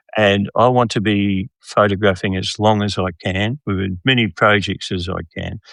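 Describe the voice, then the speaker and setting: Speaking with an Australian accent, a man keeps a moderate pace and hardly any pauses. His pitch is fairly low and his intonation fairly even. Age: 70s. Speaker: documentary photographer. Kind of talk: podcast interview. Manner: hesitant, repeats words.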